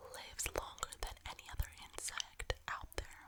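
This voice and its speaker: Whispered speech comes through over noticeable background noise. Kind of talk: ASMR reading to camera. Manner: whispered, soft-spoken.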